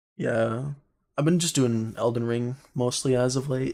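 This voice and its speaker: A quiet, medium-pitched male voice at a moderate pace. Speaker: gaming streamer. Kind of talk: casual chat. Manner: quiet, holding volume back.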